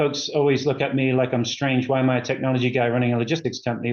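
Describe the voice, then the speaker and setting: Monotone, flat intonation at a very fast pace. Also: man. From England. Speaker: company executive. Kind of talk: interview. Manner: halting, many fillers.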